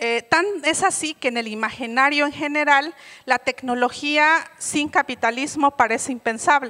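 Over a quiet background, a woman projects a raised, high-pitched voice with a bright, sharp tone, ordinary pitch variation, and a fairly slow pace. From Oaxaca, Mexico. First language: Mixe (speaking Spanish). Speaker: conference speaker. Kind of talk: keynote lecture. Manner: many hesitations and self-corrections. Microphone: handheld.

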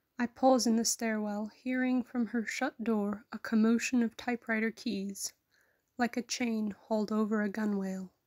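Recorded very cleanly against a silent background, with a dry, close sound and no echo, a woman speaks at a fairly high pitch in a flat, monotone way. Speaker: poetry reader. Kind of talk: poem read aloud, reflective and tender. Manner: slow, measured, wistful.

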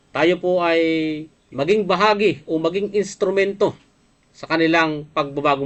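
A man talks with a fairly high pitch. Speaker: livestream program host, former rebel. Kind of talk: livestream talk show reading news items. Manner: hesitant with frequent fillers; polite, formal address.

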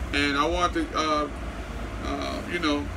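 Noticeable background noise runs behind a man as he talks. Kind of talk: casual vlog chat. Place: kitchen. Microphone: phone near.

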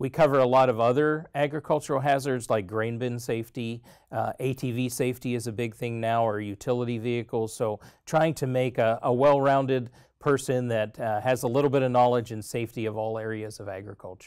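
At a fairly quick pace, a man delivers his words with fairly even intonation over a quiet background. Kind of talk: interview answer. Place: studio. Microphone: lapel.

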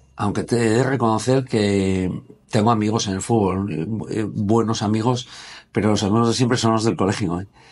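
With a plain, everyday voice, a man speaks at a moderate pace in a fairly low pitch and fairly even intonation. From Gijón, Asturias, Spain; Asturias, Spain. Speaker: former footballer and sports business founder; interviewee. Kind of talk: casual interview. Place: meeting room. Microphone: lapel.

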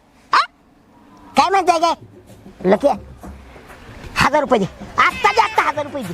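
A put-on character voice, high-pitched with very wide pitch swings, moves along at a moderate pace. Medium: comedy sketch. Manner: blustering, scheming.

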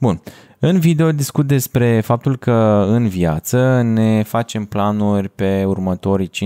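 A man's fairly low voice, dark and mellow in tone, over a quiet background. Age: 20s. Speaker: podcast host and video editor; podcast host. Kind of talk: solo podcast monologue. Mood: calm, thoughtful. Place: home room. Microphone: studio mic.

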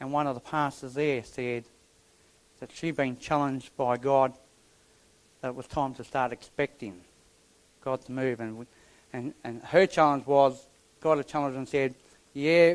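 A man with fairly even intonation at a moderate pace, broken by long, frequent pauses. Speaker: preacher. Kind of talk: sermon. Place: church.

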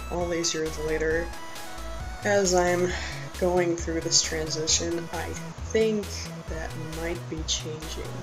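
Clear music plays in the background. A man speaks at a very slow pace. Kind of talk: casual talk to camera. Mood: unsure, reflective. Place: home room. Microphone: webcam.

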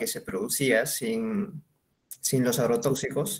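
The pitch swings very widely in this somewhat breathy voice, which moves at a fairly slow pace. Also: man. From Spain (Mallorca). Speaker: audience member. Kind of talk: audience question. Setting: video call.

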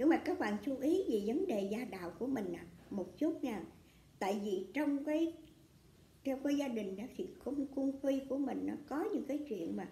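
At a fairly slow pace, a woman with a high voice and a dark, mellow tone makes very wide pitch swings, with audible room echo around her. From Vietnam. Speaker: astrology fortune teller. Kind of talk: astrology reading monologue. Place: home room.

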